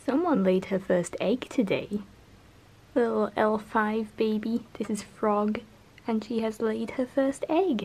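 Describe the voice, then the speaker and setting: A woman's fairly high voice with ordinary pitch variation at a very slow pace. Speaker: taxidermist. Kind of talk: casual craft vlog narration. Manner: mumbles a bit when concentrating.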